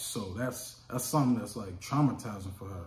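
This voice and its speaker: In an American accent, a man with a fairly low pitch speaks fairly quickly amid audible room echo. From Chicago, US. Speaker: hotshot truck driver and vlogger. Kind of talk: casual vlog storytelling. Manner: animated.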